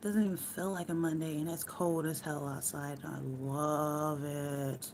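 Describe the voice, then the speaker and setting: Relaxed in tone, a woman speaks at a fairly slow pace with a very deep, low pitch and fairly even intonation, with audible room echo around her voice. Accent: American. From United States. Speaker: live streamer. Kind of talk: casual chat. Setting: at home.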